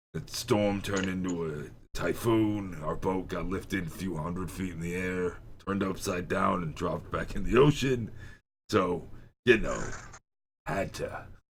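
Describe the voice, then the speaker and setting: Putting on a character voice, a man talks raspily at a moderate pace in a very deep, low register with ordinary pitch variation. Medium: actual play. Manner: casual, offhand.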